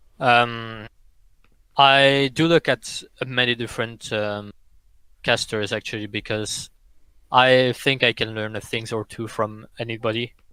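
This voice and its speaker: A man's medium-pitched voice with a French accent, bright and sharp in tone, fairly slow and fairly even in intonation, broken by long, frequent pauses, on a very clean recording over a silent background. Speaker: esports player and caster. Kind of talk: podcast interview.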